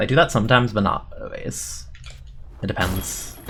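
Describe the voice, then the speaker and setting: A man speaks over noticeable background noise. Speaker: game streamer. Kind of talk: casual live-stream chat while gaming. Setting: live stream. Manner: quiet; soothing.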